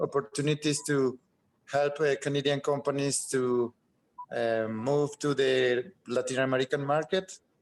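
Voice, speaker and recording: With a Spanish accent, a man speaks in a fairly high voice using fairly even intonation. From Colombia. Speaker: chemical engineer. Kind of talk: meeting self-introduction. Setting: video call.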